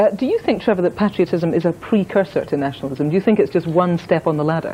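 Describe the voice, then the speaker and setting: A woman with a Scottish accent speaks very fast in a fairly low pitch, her intonation lively. Noticeable background noise runs underneath. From Scotland. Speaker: news presenter. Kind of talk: news presenting.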